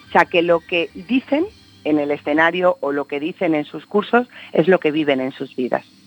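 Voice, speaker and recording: Music in the background behind a woman's very deep, low voice, lively in intonation, at a moderate pace. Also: dry, close sound with no echo. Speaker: life coach and speaker. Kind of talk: radio interview. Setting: phone line.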